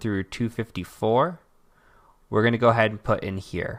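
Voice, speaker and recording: A man with a normal speaking voice, fairly low pitch and fairly even intonation, on a very clean recording with a silent background. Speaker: cybersecurity instructor. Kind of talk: screen-recorded tutorial.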